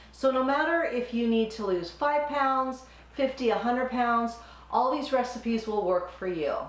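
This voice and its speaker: A woman's high-pitched voice at a moderate pace with ordinary pitch variation, amid audible room echo and noticeable background noise. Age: 60s. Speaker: cooking channel host and nurse. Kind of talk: channel intro; cooking tutorial. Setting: home kitchen.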